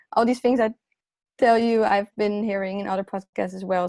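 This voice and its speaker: A woman talks at a fairly quick pace in a medium pitch, with a non-native accent and fairly even intonation. The sound is dry and close with no echo, a very clean recording over a silent background. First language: not English. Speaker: illustrator and graphic designer. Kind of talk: podcast interview. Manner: hesitant, many fillers and restarts.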